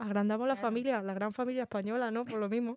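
A woman talks in a normal speaking voice pitched fairly high. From Spain, Cabra (Córdoba), Andalusia. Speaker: podcast co-host. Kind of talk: casual chat.

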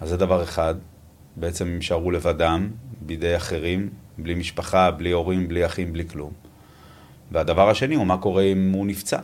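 This man has a very deep, low voice and speaks at a moderate pace in a flat monotone, with long, frequent pauses. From Israel, Tel Aviv. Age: 50s. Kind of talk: interview.

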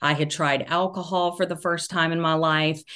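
The speaker has a Southern US accent. The background is quiet. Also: woman. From US South, Georgia. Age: 40s. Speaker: author and social media commentator. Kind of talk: casual interview.

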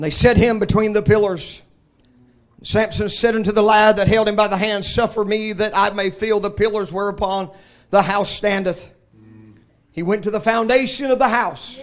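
Over a silent background in a very clean recording, a man with a Southern US accent and a high pitch speaks in an animated tone at a moderate pace. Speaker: preacher. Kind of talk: sermon. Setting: church. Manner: informal, humorous.

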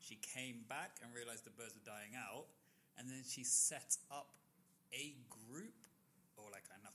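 Here a man talks at a fairly slow pace. His pitch is medium, with fairly even intonation. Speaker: podcast co-host. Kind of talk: casual chat. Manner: casual, chatty, humorous.

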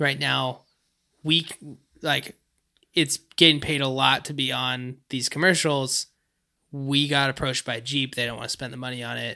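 Against a silent background in a very clean recording, a man with a bright, sharp tone and medium pitch speaks at a moderate pace with fairly even intonation and long, frequent pauses. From northeastern upstate New York, near Quebec border. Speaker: songwriter. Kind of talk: casual chat.

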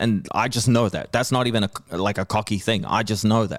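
In a New Zealand accent, a man speaks at medium pitch and a moderate pace on a very clean recording with a silent background. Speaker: hip-hop artist and comedian. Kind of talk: casual chat. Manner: animated.

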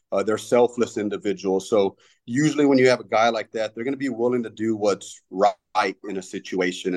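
In a Texan accent, a man speaks at a fairly quick pace with a fairly low pitch. The sound is dry and close, with no echo. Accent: Texan American. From Texas. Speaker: firefighter lieutenant. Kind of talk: interview. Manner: halting.

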